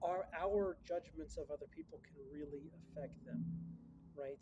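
With noticeable background noise, a man's dark, mellow voice moves at a fairly quick pace. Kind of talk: casual vlog chat. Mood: calm, reflective. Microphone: phone near.

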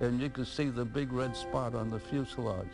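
With music in the background, a man with an American accent talks at a fairly low pitch. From Pensacola, Florida. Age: 80s+. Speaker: war veteran. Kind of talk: interview answer.

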